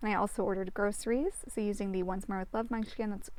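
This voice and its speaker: The speaker is a woman. Her pitch is medium. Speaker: planner YouTuber. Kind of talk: casual plan-with-me narration. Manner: fast; chatty, filler-heavy.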